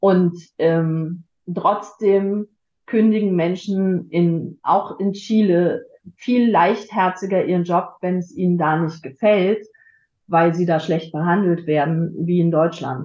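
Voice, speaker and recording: A woman's fairly low voice, very slow, with fairly even intonation. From Germany, Frankfurt. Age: 50s. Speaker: podcast guest. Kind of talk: casual chat. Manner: halting.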